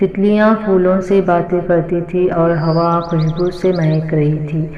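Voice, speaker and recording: Music plays in the background as a woman speaks with monotone, flat intonation. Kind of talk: read story.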